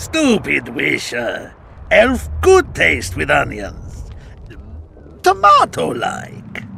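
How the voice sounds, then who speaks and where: A man's put-on character voice at a very slow pace, with long, frequent pauses and clear background noise. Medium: video game. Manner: terse, deadpan.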